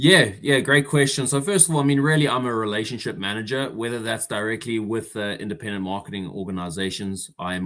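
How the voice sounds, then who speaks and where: A man with a South African accent speaks at a very fast pace. The recording is very clean, with a silent background. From South Africa, Durban. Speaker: insurance relationship manager. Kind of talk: interview.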